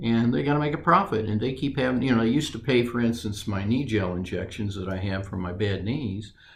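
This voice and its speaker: Delivered at a very fast pace with hardly any pauses, the speech shows ordinary pitch variation and audible room echo. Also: man, medium pitch for a man. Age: 60s. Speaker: retiree interviewee. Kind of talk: interview. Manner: halting.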